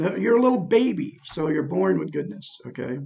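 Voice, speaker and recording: A man with vocal fry at a fairly slow pace. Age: 60s. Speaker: self-help vlogger. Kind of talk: personal testimony monologue. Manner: rambling, repetitive fillers.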